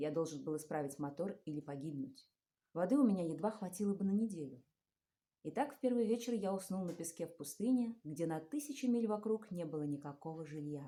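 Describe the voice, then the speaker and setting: Her tone dark and mellow, a woman talks at a fairly quick pace with fairly low pitch and lively intonation. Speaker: stage actress. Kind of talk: fairy tale reading.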